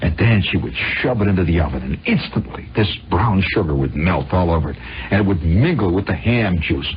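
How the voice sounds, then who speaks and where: Lively intonation at very even loudness over noticeable background noise. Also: man, very deep, low pitch for a man, fairly quick pace. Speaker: radio monologist. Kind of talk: radio storytelling monologue. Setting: old radio broadcast recording. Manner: conversational, rambling.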